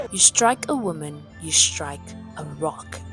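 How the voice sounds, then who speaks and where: A woman speaks. Music plays in the background. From South Africa. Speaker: YouTuber. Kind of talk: personal video essay narration.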